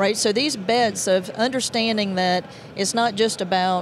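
A woman speaks at a fairly slow pace with fairly even intonation and very even loudness. The sound is dry with no echo, over light background noise. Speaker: guest. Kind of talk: interview answer. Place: hall. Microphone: handheld.

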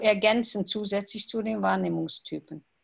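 A moderate pace carries the speech along. There is a somewhat breathy edge to the voice. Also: woman. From Luxembourg. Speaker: salon organiser. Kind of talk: casual chat. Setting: video call. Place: home room. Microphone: video call.

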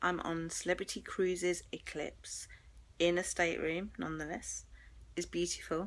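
The voice moves at a moderate pace with a fairly bright tone. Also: woman.

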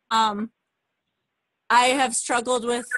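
A woman speaks with a bright, sharp tone. The sound is dry with no echo, and the background is quiet. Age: 30s. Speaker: fitness coach. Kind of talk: testimony. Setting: video call.

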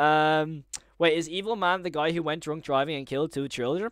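In an Irish accent, a man with a fairly high pitch talks in an animated tone. The background is quiet, and the sound is dry with no echo. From Ireland. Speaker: YouTuber live streaming horror series breakdown; livestreamer. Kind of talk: live stream commentary to chat. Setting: home live stream with chat. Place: home room. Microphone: studio mic.

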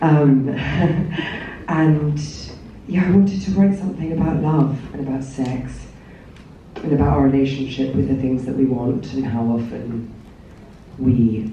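Speaking at a fairly slow pace, a woman has a very deep, low pitch, with audible room echo and light background noise. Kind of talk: interview answer. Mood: relaxed, amused. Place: hall.

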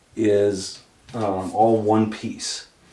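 In a room with audible echo, a man speaks at a fairly low pitch. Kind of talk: tutorial. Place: bathroom. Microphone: camera far.

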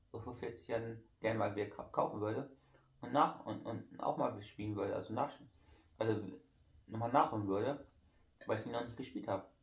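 A man's somewhat breathy voice at a medium pitch, with fairly even intonation. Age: 30s. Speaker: YouTuber. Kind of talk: casual vlog talk while eating. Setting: at home in living room. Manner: halting.

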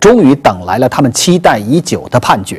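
A man's voice shows vocal fry and very wide pitch swings. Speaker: TV program host. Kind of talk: news presentation. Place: studio. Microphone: lapel.

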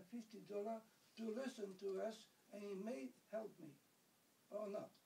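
Speech moves at a fairly slow pace. A dark, mellow tone colors the voice. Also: man. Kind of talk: interview answer. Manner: aggrieved, indignant. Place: home room. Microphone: camera far.

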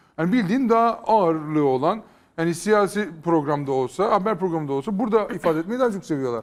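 A high-pitched man with lively intonation, speaking at a very fast pace. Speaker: YouTube content creator. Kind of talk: casual chat.

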